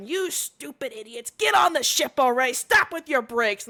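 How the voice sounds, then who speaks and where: A woman puts on a gruff character voice. It sits high in pitch. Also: moderate pace. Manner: angry, shouting orders.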